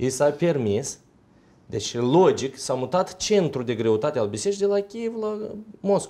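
His tone is dark and mellow, and the man's fairly high pitch swings very widely. The pace is moderate. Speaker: Orthodox deacon. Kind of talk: panel discussion on TV. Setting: studio. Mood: calm, explanatory. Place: studio. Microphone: lapel.

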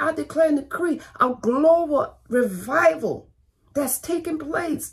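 A woman speaks at an extremely high pitch. The background is quiet. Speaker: pastor. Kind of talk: fiery online sermon with call-and-response exhortation. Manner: fervent, urgent preaching punctuated by 'Come on, thank you, Jesus'; repetitive, rhythmic exhortation, stacking short commands. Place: home room. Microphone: phone near.

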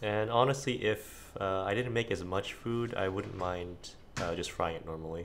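A quiet man at a moderate pace, fairly low in pitch with ordinary pitch variation, over light background noise. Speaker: home cook. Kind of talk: casual cooking narration. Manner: quiet, low volume. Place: kitchen.

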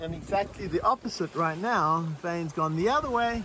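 Loud background noise runs under a dry sound that has no echo. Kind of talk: tutorial. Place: boat. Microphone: phone near.

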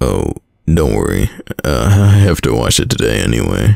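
A man uses a put-on character voice at extremely low pitch with big pitch swings and vocal fry. His pace is moderate and his tone slightly mellow.

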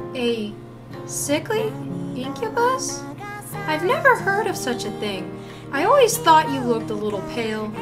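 Over clear background music, a female-sounding put-on character voice speaks at a moderate pace. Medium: dub.

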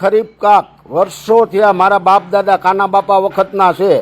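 A man with a high pitch speaks, recorded with a dry, close sound and no echo. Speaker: farmer reacting on social media. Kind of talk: angry rant. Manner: animated.

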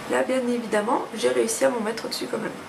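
A woman with a fairly high pitch and vocal fry speaks at a fast pace with fairly even intonation over clear background noise.

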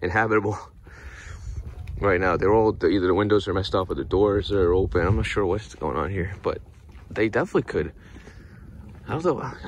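A man talks at a fairly quick pace with a fairly low pitch and ordinary pitch variation. The sound is dry with no echo, over light background noise. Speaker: vlogger filming. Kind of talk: casual vlog chat. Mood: relaxed, amused. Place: forest. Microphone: phone near.

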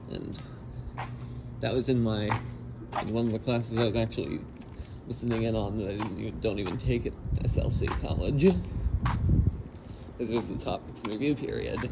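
A man talks with ordinary pitch variation over loud background noise. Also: fairly quick pace. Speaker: channel owner vlogger. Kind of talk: casual vlog chat. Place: station. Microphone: phone near.

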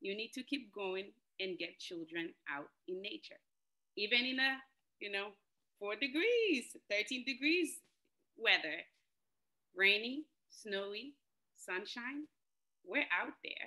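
Speaking at a very slow pace with long, frequent pauses, a woman with a fairly high pitch swings very widely in pitch against a quiet background. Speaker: outdoor preschool educator. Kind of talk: panel presentation. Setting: video call. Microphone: video call.

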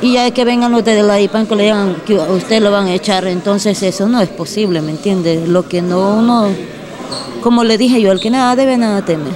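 Amid noticeable background noise, a woman talks at a fairly quick pace and medium pitch, with ordinary pitch variation and very even loudness. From Honduras. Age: young. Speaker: detained woman; interviewee. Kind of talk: interview. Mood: defensive, earnest. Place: hall. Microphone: handheld.

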